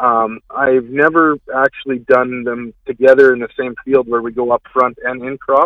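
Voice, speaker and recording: With a Canadian prairie accent, a man talks at a fairly slow pace and a medium pitch. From Manitoba, Canada. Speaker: farmer. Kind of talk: radio call-in. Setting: phone call.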